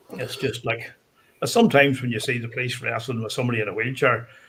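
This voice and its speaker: With a Northern Irish accent, a man speaks at a medium pitch and a moderate pace, keeping his intonation fairly even. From Northern Ireland. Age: 50s. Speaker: guest storyteller. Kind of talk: casual chat.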